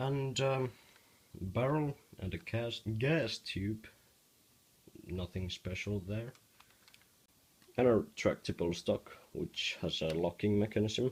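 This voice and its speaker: Speaking with a non-native accent at a very slow pace, a man with a medium pitch sounds somewhat breathy, using lively intonation and long, frequent pauses. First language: not English. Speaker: hobby Lego builder. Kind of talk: casual demo of a build to camera. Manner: stuttering.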